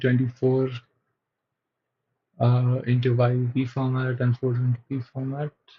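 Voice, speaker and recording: A man speaks with a non-native accent at a medium pitch. His voice is somewhat breathy and his intonation is monotone and flat. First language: not English. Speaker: software developer streamer. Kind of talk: live coding stream chat. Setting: live stream. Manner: hesitant, many fillers.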